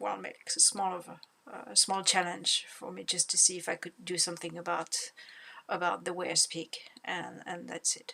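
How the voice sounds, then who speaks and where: With a French accent, a woman speaks at a moderate pace, her loudness swinging widely over noticeable background noise. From France. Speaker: language learner vlogger. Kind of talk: casual monologue vlog. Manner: halting, many fillers and repetitions.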